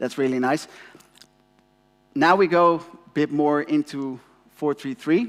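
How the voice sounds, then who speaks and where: A Dutch accent comes through here. The pace is fairly slow. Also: man. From Netherlands. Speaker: company representative, conference speaker. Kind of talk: conference presentation. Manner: halting, many fillers.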